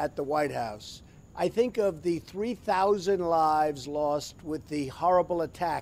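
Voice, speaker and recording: With a high pitch and ordinary pitch variation, a man speaks at a very slow pace. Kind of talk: commemorative address. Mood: solemn, somber. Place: garden.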